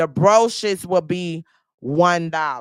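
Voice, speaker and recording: A woman with a Louisiana accent at a very slow pace, her pitch varying in an ordinary way, in a very clean recording with a silent background. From US South, Shreveport, Louisiana. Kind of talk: sales pitch; casual livestream chat.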